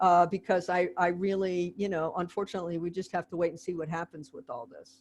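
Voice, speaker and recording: A woman has a normal speaking voice at medium pitch and a moderate pace. The background is quiet. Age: 60s. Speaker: history professor. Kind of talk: video call Q&A discussion.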